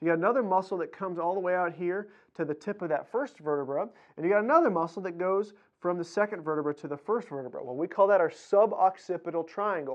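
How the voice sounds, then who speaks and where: A man talks at a very fast pace in a high voice. His tone is energetic, with ordinary pitch variation. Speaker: chiropractor. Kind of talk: educational explainer video. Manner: casual, energetic.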